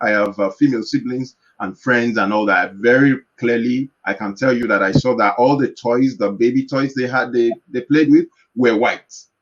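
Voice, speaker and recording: This man has a Yoruba accent and a medium-pitched voice. He talks at a moderate pace with fairly even intonation. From Nigeria. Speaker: organization founder. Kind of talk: panel discussion. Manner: halting.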